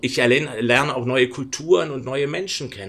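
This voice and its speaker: Speaking at a fairly quick pace, a man has a medium pitch, ordinary pitch variation and an ordinary speaking voice. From Berlin, Germany. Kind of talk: interview conversation.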